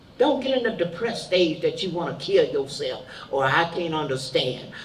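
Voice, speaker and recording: A woman speaks with a fairly low pitch and very wide pitch swings. Room echo is audible. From Birmingham, Alabama. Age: 70s. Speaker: civil rights veteran. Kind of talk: advice to youth.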